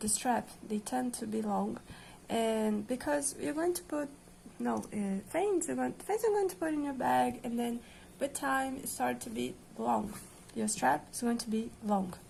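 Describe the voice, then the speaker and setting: With a Portuguese accent, a woman speaks at a fairly slow pace. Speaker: crochet tutorial creator. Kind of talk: tutorial. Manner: hesitant, many fillers.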